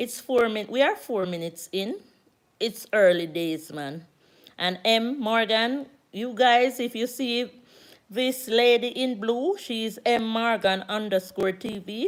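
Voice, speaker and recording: Delivered at a very slow pace in a Jamaican accent, the speech has ordinary pitch variation. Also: woman, fairly high pitch for a woman. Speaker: YouTuber. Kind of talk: live stream chat. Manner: loud.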